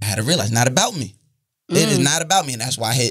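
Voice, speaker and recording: A man talking at a fairly quick pace, lively intonation and a quiet background. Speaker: podcaster. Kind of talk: casual chat. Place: studio. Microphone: studio mic.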